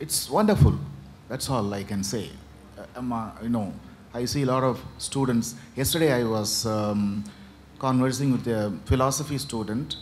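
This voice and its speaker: In a Tamil accent, a man speaks at a moderate pace and medium pitch with ordinary pitch variation, and audible room echo surrounds him. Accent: Tamil-accented Indian English. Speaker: writer. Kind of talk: opening remarks at panel. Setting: stage at literature festival. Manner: halting, many fillers.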